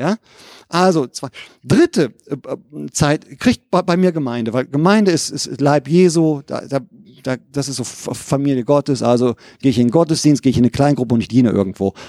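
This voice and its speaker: With a plain, everyday voice, a man speaks at a fairly high pitch and a moderate pace, his intonation lively and the sound dry and close with no echo. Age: 50s. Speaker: lay preacher. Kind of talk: sermon.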